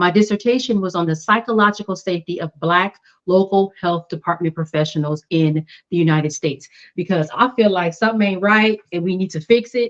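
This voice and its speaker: In an ordinary speaking voice, a woman with an American accent talks at a fairly low pitch with ordinary pitch variation. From South Los Angeles. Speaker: public health professional with new doctorate. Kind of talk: interview.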